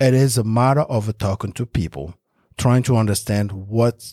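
In a French accent, a man with a medium pitch speaks with lively intonation, recorded dry and close with no echo against a very clean, silent background. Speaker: real estate investor. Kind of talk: podcast interview.

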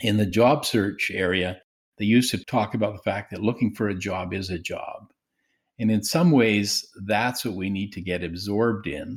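Recorded very cleanly against a silent background, a man with a Canadian accent speaks in a normal speaking voice at a fairly low pitch, a moderate pace and with ordinary pitch variation. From Saskatchewan, Canada. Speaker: professor of counseling psychology. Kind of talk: interview.

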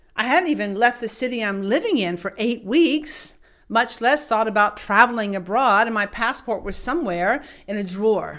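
A woman with an ordinary speaking voice talks at a moderate pace. Her pitch is fairly high and her intonation is lively. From US South. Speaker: coach and keynote speaker. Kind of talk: motivational storytelling podcast.

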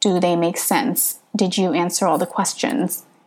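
With a West Coast American accent, a woman talks at a moderate pace and a medium pitch. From Northern California. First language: Hmong. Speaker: podcaster, prospective PhD student. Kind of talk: tutorial.

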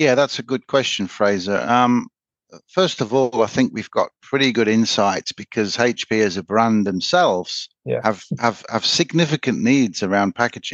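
Against a quiet background, a man with an English accent talks at a moderate pace and medium pitch with ordinary pitch variation. The sound is dry and close, with no echo. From England. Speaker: sales manager at a print technology company. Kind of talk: interview.

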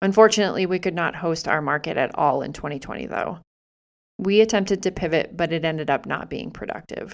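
A woman with an unremarkable speaking voice talks at a fairly quick pace, her pitch fairly low with ordinary variation, against a quiet background. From US Northeast, Massachusetts. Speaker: podcaster and small business owner. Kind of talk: personal storytelling monologue.

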